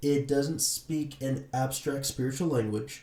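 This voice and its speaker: Delivery proceeds at a moderate pace. There's a somewhat breathy quality to the voice. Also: man. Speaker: YouTuber living with schizophrenia. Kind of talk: personal testimony talk to camera.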